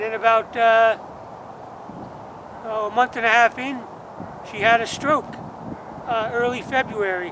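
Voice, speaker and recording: Over noticeable background noise, a man uses a raised, projected voice at an extremely high pitch, fairly slow and monotone, with long, frequent pauses. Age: 60s. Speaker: musician. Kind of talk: personal vlog monologue. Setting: outdoors at cemetery grave. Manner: halting.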